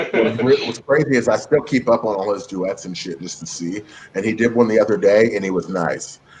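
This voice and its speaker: Amid noticeable background noise, a man with an American accent talks at a fairly quick pace, his loudness swinging widely. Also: medium pitch for a man, ordinary pitch variation. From US West Coast, San Francisco Bay Area. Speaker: cook and social media creator. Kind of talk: casual chat.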